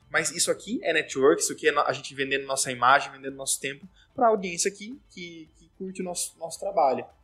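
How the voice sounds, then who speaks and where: Over music in the background, a man with a fairly high pitch talks at a very fast pace with lively intonation and big swings in loudness. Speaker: podcast host. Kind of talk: casual chat.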